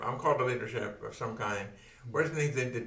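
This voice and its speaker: A medium-pitched male voice with audible room echo and noticeable background noise. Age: 70s. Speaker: podcast host, church leader. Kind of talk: interview. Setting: studio.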